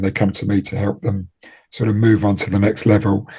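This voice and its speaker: A man speaks quietly against a quiet background at a fairly quick pace, his voice somewhat breathy. His tone is dark and mellow, and his pitch is fairly low. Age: 60s. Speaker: trading performance coach. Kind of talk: interview. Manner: halting, with fillers and repeated words.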